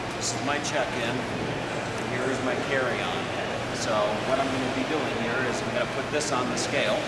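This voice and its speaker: A man talks at a medium tempo against loud background noise. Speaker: traveler vlogger. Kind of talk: casual talk to camera. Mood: cheerful, joking. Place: station. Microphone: phone near.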